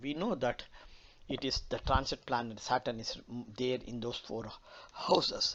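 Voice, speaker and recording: A man with a Telugu accent speaks at a moderate pace in a medium-pitched voice. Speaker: astrologer. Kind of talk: lecture. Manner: halting, many fillers.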